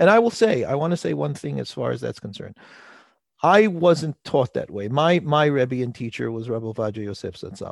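Against a quiet background, a man talks fairly quickly at a medium pitch, with very wide pitch swings and big swings in loudness. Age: 40s. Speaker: rabbi. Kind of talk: interview. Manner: halting.

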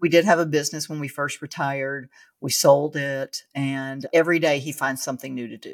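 In a very clean recording with a silent background, a woman with a very deep, low voice and an American accent speaks at a fairly quick pace with fairly even intonation. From Louisiana, near the Texas line. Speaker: podcast host and military veteran. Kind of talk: casual interview chat. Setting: home basement.

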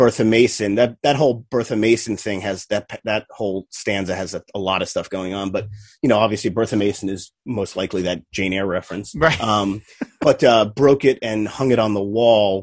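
A man has a plain, everyday voice at a fairly low pitch, speaking at a moderate pace. His pitch varies in an ordinary way, and the sound is dry and close with no echo. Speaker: podcast guest, music fan. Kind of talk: casual chat.

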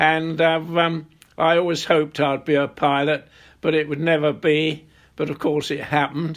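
A man speaks at a moderate pace in a fairly high pitch, his intonation flat and monotone, on a very clean recording with a silent background. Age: 90s. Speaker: war veteran. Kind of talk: interview.

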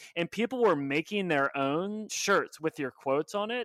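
Using an ordinary speaking voice, a man with an American accent talks at a fairly quick pace with lively intonation. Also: very clean recording, silent background. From Oklahoma. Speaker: podcast host, growth marketer. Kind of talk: interview.

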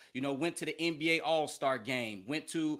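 A man with an American accent speaks at a moderate pace in an ordinary speaking voice, pitched fairly high, on a very clean recording with a silent background. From Chicago, US Midwest. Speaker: educational media consultant, former TV sports journalist. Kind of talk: interview.

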